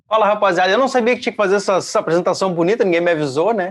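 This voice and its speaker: Here a man speaks in a southern Brazilian accent. The sound is dry and close with no echo. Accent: gaúcho accent, recognizable. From Porto Alegre, Brazil. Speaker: guitarist, podcast guest. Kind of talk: casual chat.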